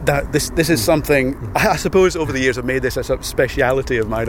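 Over noticeable background noise, a man with a Scottish accent speaks at a fairly quick pace, his pitch medium and its variation ordinary. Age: 40s. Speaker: radio promotions producer. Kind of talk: casual interview. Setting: outdoors.

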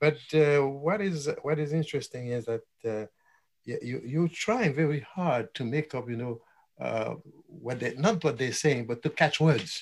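A somewhat breathy man, fairly high in pitch, at a fairly slow pace with ordinary pitch variation on a very clean recording with a silent background. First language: French or Haitian Creole. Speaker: retired educator. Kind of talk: interview. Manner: halting.

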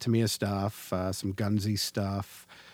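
A man with a Canadian accent talks in an ordinary speaking voice at a fairly low pitch and fairly slow pace, with fairly even intonation, on a very clean recording with a silent background. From Canada. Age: 40s. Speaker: podcast host. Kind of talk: casual chat.

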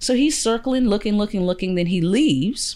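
A woman with a Chicago accent speaks at a very fast pace on a very clean recording with a silent background. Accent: Chicago American. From US, Chicago South Side. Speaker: actor. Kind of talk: interview.

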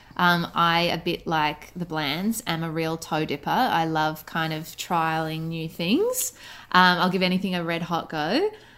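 A woman speaks at a fairly slow pace with an Australian accent, a fairly low pitch and fairly even intonation. Her tone is bright and sharp, and the recording is very clean with a silent background. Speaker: writer and actor. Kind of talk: casual radio interview. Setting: radio interview by call.

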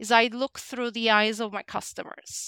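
Speaking fairly slowly with a Turkish accent, a woman uses a bright, sharp, fairly high voice and fairly even intonation, captured in a dry, close sound with no echo on a very clean recording with a silent background. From Turkey. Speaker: talent development director. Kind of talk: interview.

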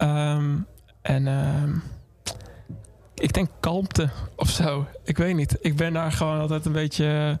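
Very slow and somewhat breathy, this voice holds a monotone, flat intonation and very even loudness. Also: man, fairly high pitch for a man. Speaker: musician. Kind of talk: casual interview. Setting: studio.

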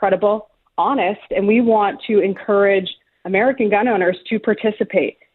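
Using an ordinary speaking voice, a woman speaks at a moderate pace with medium pitch and ordinary pitch variation. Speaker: gun rights organization representative. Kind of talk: interview.

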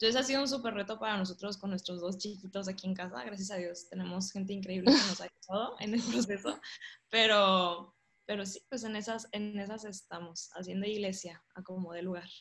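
A woman with an unremarkable speaking voice talks at a fairly quick pace. Her pitch is medium, with ordinary variation. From Monterrey, northern Mexico. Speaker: church member sharing testimony. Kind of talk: testimony.

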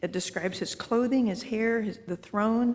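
A woman with a normal speaking voice speaks at a fairly high pitch with ordinary pitch variation. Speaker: audience member.

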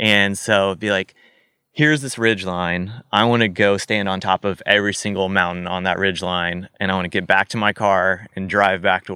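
An unremarkable speaking voice from a man with an American accent, fairly low in pitch, at a moderate pace with fairly even intonation, in a dry, close sound with no echo. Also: very clean recording, silent background. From US South (Missouri). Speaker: endurance cyclist. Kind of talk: casual interview. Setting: in person studio.

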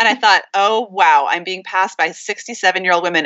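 A woman with an American accent speaks in an unremarkable speaking voice at a medium pitch, with fairly even intonation. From Montana. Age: 50s. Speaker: author and art historian. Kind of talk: casual interview.

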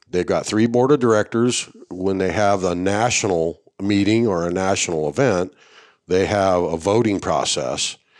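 Here is a man with an unremarkable speaking voice and fairly low pitch. He speaks at a fairly slow pace with ordinary pitch variation. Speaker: retired army veteran and coonhound breed association officer. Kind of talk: casual interview conversation. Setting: on site at a hunting event.

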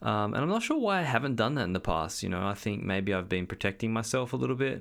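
The man is heard in a very clean recording with a silent background. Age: 30s. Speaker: podcast host and energetic coach. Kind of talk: solo monologue podcast. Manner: casual, hesitant with fillers.

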